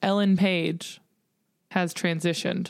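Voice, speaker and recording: Flat and monotone, a woman speaks at a fairly slow pace. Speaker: podcast host. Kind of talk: casual comedic chat.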